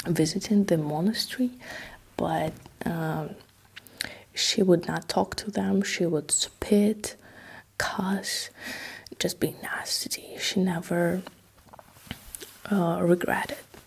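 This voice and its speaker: A woman with a Russian accent speaks at a very slow pace in a fairly low pitch, her intonation fairly even and broken by long, frequent pauses, over noticeable background noise. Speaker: ASMR history narrator. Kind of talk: casual history storytelling. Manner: halting, many fillers; soft-spoken ASMR.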